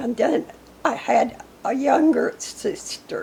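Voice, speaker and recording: A woman speaks very slowly in an Arkansas accent. Noticeable background noise is present. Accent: US Southern (Arkansas). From Arkansas, near Newport. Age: 80s+. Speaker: local elder interviewed about history. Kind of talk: oral history interview.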